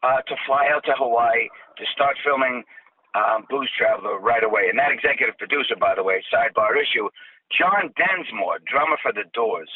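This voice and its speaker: A man with a Boston accent at a moderate pace. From South Boston, Massachusetts. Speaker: TV travel host and actor. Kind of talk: casual interview. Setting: phone call.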